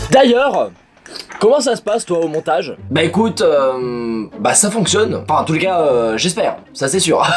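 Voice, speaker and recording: A man talks at a high pitch with very wide pitch swings and a fairly slow pace. Noticeable background noise is present. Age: 20s. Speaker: YouTuber doing amateur dubbing. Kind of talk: casual vlog commentary.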